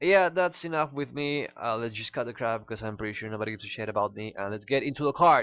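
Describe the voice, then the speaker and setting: In a Spanish accent, a man rattles along at a very fast pace with lively intonation and a medium pitch. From Peru. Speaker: card game YouTuber. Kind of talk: casual card review. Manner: halting, many fillers.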